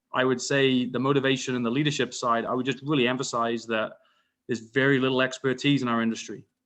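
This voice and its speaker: A man speaks at a very fast pace in a flat, monotone delivery with a British accent. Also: medium pitch for a man. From UK. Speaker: wind energy industry expert. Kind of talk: panel discussion. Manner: stuttering, repeats words.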